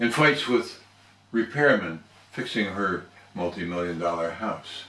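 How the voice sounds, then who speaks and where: A man with a normal speaking voice talks at a fairly slow pace, his pitch fairly low and his intonation lively. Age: 60s. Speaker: toastmasters member. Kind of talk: storytelling speech.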